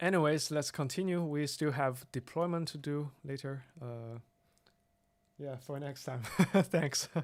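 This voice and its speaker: Speech moves at a fairly slow pace, broken by long, frequent pauses. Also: very clean recording, silent background. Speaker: software developer streaming live coding. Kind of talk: live coding tutorial. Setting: live stream with screen share. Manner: halting, many fillers and restarts.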